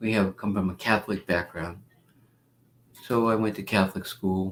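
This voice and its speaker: In a New York accent, a man speaks at a moderate pace with a fairly low pitch and very even loudness. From New York (Bronx, Long Island). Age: 70s. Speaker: spiritual teacher and devotee. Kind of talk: interview storytelling. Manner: animated.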